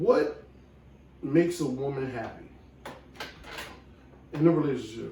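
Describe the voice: In a room with strong echo, a man with vocal fry and a dark, mellow tone speaks slowly with ordinary pitch variation. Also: medium pitch for a man.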